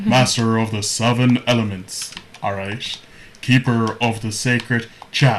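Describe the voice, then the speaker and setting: A man puts on a booming character voice with a pompous tone and medium pitch. He speaks at a fairly slow pace. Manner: pompous, grandiose.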